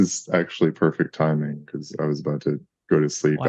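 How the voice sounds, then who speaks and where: Resonant and very deep in pitch, a man's voice moves at a moderate pace. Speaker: call participant. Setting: video call.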